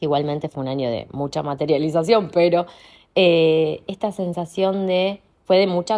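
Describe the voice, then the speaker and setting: In an ordinary speaking voice, a woman talks at a fairly slow pace, her pitch fairly low with ordinary pitch variation. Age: 30s. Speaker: coach. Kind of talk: monologue podcast. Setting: at home. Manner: reflective, meandering.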